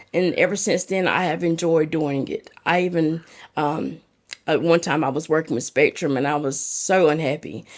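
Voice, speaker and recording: A woman with a strong North Carolina accent talks at a moderate pace in a very deep, low pitch with fairly even intonation. The recording is very clean, with a silent background. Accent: thick southern North Carolina. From North Carolina, Lumberton. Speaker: peer support specialist. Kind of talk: podcast interview.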